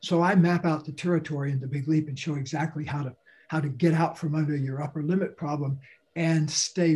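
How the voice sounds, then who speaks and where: The man's dark, mellow tone comes through somewhat breathy as he speaks at a fairly quick pace with fairly even intonation. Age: 70s. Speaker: author and speaker. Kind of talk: interview.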